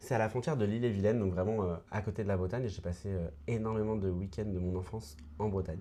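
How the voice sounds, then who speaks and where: Talking at a very fast pace, a man has a fairly low pitch, a dark, mellow tone and ordinary pitch variation. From France, Mayenne (western France near Brittany). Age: 20s. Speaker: actor and writer. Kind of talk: podcast interview.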